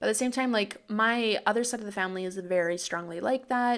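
A woman with a Canadian accent talks in a plain, everyday voice with ordinary pitch variation. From small town, Canada. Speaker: true crime podcast co-host. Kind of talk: casual chat; scripted narration.

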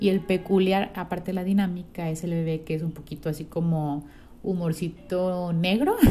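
A woman with a Mexican accent and a fairly low pitch speaks at a moderate pace with fairly even intonation while music plays in the background. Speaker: podcast host. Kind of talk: casual monologue.

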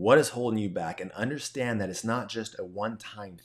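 In a plain, everyday voice, a man talks at a fairly quick pace with ordinary pitch variation. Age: 30s. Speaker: faith podcast host. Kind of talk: casual solo monologue. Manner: conversational with fillers.

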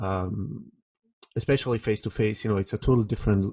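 A man speaks at a fairly low pitch. The sound is dry and close with no echo, against a quiet background. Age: 40s. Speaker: podcast host. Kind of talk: interview. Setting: face-to-face on a boat trip. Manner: halting, many fillers. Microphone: professional equipment.

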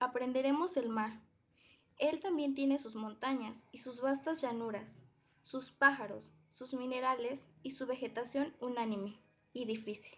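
A fairly slow pace with fairly even intonation. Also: woman, high pitch for a woman. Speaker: poetry reader. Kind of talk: poetry reading. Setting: video call.

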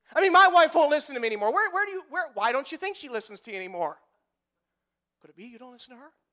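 An extremely high-pitched man with an American accent, very fast and animated, in a raised, projected voice with a bright, sharp tone, very wide pitch swings and big swings in loudness. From US Midwest (northeast Iowa). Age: 30s. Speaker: pastor. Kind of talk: sermon. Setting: church.

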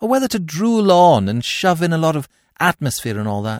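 An animated man with a high pitch and very wide pitch swings talks at a moderate pace, in a dry, close sound with no echo, on a very clean recording with a silent background. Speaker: audiobook narrator. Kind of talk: dramatic narration of a comic novel, with character voices. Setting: studio. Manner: animated, bright, plummy and jaunty in the first-person narration; warm, conversational and sincere in the podcast intro.

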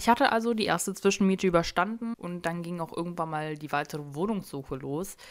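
A woman speaks at a very fast pace with hardly any pauses, fairly low pitch, ordinary pitch variation, and big swings in loudness. The recording is very clean, with a silent background. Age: 20s. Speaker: solo podcast host. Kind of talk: casual monologue. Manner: many fillers (ähm), chatty.

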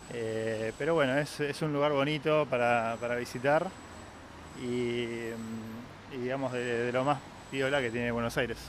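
In an Argentine accent, a man speaks at a medium pitch. His pace is fairly slow and his intonation fairly even. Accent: Argentine Spanish (Rioplatense). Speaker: local guide. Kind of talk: casual chat.

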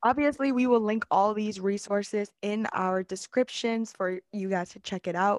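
A woman with an American accent speaks at a medium pitch and a moderate pace, with fairly even intonation, in an ordinary speaking voice. The sound is dry and close with no echo, over a quiet background. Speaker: podcast co-host. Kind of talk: casual chat.

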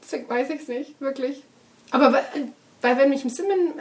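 A woman speaks at a high pitch. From Germany, Duisburg (Ruhr area). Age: 20s. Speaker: journalist. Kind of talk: interview.

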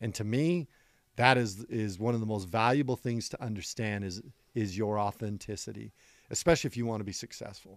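A man speaks at a fairly low pitch and a fairly quick pace, with ordinary pitch variation. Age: 50s. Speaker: county sheriff. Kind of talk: podcast interview. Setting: in person, Scottsdale, Arizona. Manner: energetic.

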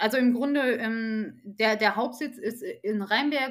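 A woman's fairly high-pitched, unremarkable speaking voice with fairly even intonation, in a very clean recording with a silent background. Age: 30s. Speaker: HR team lead. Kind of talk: podcast interview. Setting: studio.

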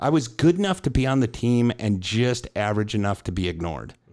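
In a very clean recording with a silent background, a man talks in a normal speaking voice at a fairly low pitch. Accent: American. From Chicago, US Midwest. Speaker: podcast host and coach. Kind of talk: casual chat.

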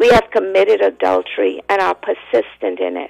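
A woman speaks at a moderate pace in a solemn tone with a Bahamian accent, her voice dry and close with no echo, while music plays in the background. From the Bahamas. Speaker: evangelist. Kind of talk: fervent prayer. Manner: impassioned, declamatory; solemn, rhythmic.

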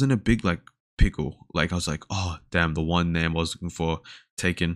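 A man speaks at a fairly quick pace in a very deep, low voice. The recording is very clean, with a silent background. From Australia. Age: 20s. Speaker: podcast host and uni student. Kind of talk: casual solo chat, introduction. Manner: casual, filler-heavy.

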